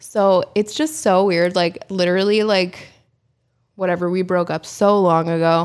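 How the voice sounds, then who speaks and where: Here is a woman with a plain, everyday voice and an American accent. Her pitch is medium with ordinary variation, at a moderate pace on a very clean recording with a silent background. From Pennsylvania, Poconos. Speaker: fashion brand owner. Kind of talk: casual interview.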